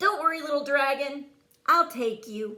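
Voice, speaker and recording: A woman puts on a squeaky character voice with a high pitch. Her intonation is lively. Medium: read story. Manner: nervous, stammering.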